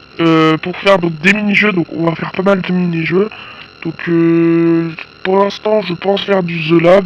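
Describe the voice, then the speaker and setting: A fairly slow, monotone, flat delivery over noticeable background noise. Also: man, high pitch for a man. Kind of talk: casual gameplay commentary.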